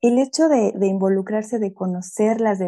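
Against a quiet background, a woman with a Mexico City accent speaks at a fairly slow pace and medium pitch, her tone dark and mellow, with ordinary pitch variation. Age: young. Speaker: pedagogue and ecofeminist activist. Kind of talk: interview.

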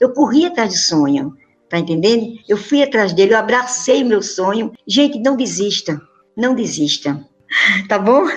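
Music plays in the background as a woman speaks fairly slowly at a fairly high pitch. Her voice moves in very wide pitch swings. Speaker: amateur tennis player. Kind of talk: interview. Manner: animated.

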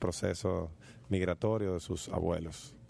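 The background is quiet. A man speaks at a very deep, low pitch in a dark, mellow tone. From Dominican Republic. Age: 30s. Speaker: radio host. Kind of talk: radio talk show.

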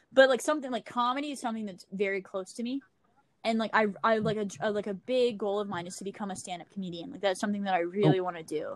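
A woman speaks at a very fast pace with an American accent. Her loudness swings widely. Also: medium pitch for a woman, ordinary pitch variation. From Louisiana, US. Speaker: podcaster. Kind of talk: casual chat. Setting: remote call.

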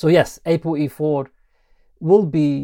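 This man's voice sits fairly high in pitch and has a dark, mellow tone, captured with a dry, close sound and no echo. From Lebanon (Beirut). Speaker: physician and researcher. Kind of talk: interview.

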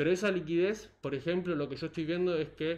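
The pace runs fairly quick. This is an ordinary speaking voice. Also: man. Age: 20s. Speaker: economist and financial analyst. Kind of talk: casual interview.

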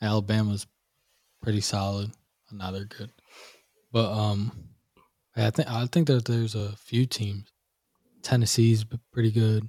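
A man with a dark, mellow tone, fairly low pitch and a somewhat breathy voice, at a moderate pace with long, frequent pauses, on a very clean recording with a silent background. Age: 20s. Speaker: podcast co-host. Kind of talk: casual chat. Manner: animated.

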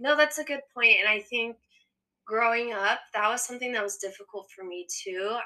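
In an American accent, a woman speaks at a moderate pace in a bright, sharp tone, her fairly high pitch showing ordinary variation and her loudness swinging widely. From California. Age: 20s. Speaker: occupational therapy student. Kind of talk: casual chat.

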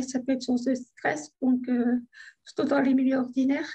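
This woman talks at a moderate pace. Her voice is high-pitched. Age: 30s. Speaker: stroke survivor. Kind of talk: testimony.

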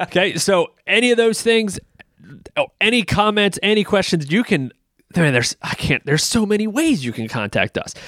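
A loud man with a high pitch talks at a moderate pace, his voice making very wide pitch swings in a dry, close sound with no echo. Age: 30s. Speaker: pastor and podcast co-host. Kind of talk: casual chat.

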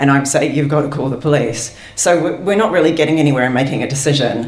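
A woman's very deep, low voice at a very fast pace, with noticeable background noise. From London, England. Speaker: storyteller. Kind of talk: live storytelling. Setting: stage with audience.

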